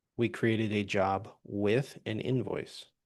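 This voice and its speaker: A man talks at a fairly low pitch. The background is quiet. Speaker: software trainer. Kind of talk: live webinar tutorial. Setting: live webinar with screen share.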